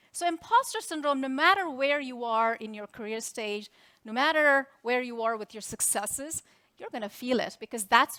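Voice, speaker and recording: A woman with a non-native accent speaks at a moderate pace in a high, bright, sharp voice. Her pitch varies an ordinary amount, while her loudness swings widely. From India. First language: Indian language. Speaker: tech executive. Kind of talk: keynote speech. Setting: stage with audience.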